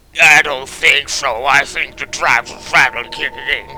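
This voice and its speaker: Against clear background noise, a man does a put-on character voice at a moderate pace. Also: fairly high pitch for a man. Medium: solo performance. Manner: light-hearted.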